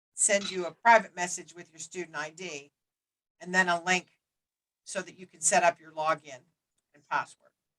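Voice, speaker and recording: A woman with a fairly low voice and fairly even intonation speaks with long, frequent pauses and big swings in loudness, in a dry, close sound with no echo. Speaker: instructor. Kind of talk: lecture. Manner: fast.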